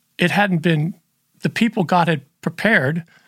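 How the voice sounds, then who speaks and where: A high-pitched man with ordinary pitch variation, dry and close with no echo. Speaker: mentor and former youth ministry leader. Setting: remote recording, audio only. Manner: halting, emotional.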